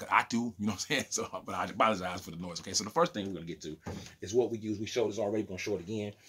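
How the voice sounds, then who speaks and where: At a very fast pace, a man speaks in a fairly low pitch with ordinary pitch variation. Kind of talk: casual vlog chat. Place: home room. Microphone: phone near.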